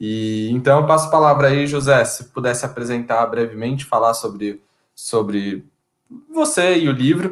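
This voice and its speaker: A man talks at a moderate pace with medium pitch and ordinary pitch variation. He has an ordinary speaking voice. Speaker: live chat moderator. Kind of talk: casual chat. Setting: online live stream.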